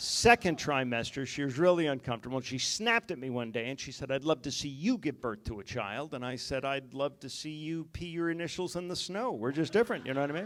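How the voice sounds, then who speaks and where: With an American accent, a man speaks very fast with hardly any pauses, at a fairly high pitch with lively intonation. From West Virginia. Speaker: stand-up comedian. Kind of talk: stand-up. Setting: stage with audience.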